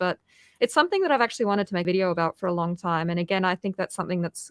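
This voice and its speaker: The speaker is a woman. Her pitch is medium. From South Africa, Cape Malay community. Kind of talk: casual interview on a live stream.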